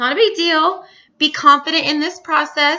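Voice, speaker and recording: Speaking at a fairly quick pace, a woman uses a high pitch and an animated, energetic tone. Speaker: health and fitness business coach. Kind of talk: training talk to team on recorded video.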